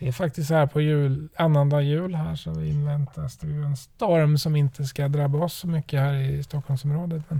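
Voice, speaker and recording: This man's fairly high voice is somewhat breathy, with a dark, mellow tone. He speaks in a monotone, flat way with hardly any pauses. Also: moderate pace. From western Sweden, Trollhättan. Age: 40s. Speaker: podcast host, father. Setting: in a parked car.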